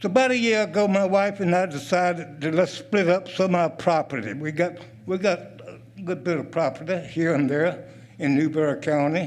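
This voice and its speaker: A man's high-pitched voice with a Southern US accent and ordinary pitch variation. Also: moderate pace. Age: 80s+. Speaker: retired military and State Department veteran. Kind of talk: public comment at county meeting.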